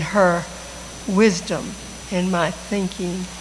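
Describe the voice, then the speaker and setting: Noticeable background noise and audible room echo surround a woman whose intonation stays fairly even. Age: 80s+. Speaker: friend of the deceased. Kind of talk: tribute speech.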